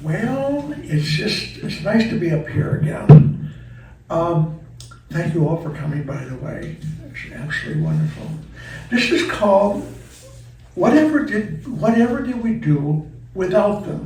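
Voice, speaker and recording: The speech comes at a fairly slow pace with lively intonation, big swings in loudness, and long, frequent pauses. Noticeable background noise and audible room echo are present. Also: man, fairly high pitch for a man. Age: 80s+. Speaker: retirement community resident essayist. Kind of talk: reading aloud of personal essay.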